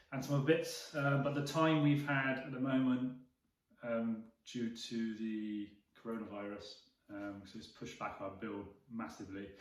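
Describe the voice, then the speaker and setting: Big swings in loudness from a man with ordinary pitch variation, in a room with audible echo. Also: medium pitch for a man, moderate pace. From England, Bristol. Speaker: vlogger, camper truck builder. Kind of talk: casual chat.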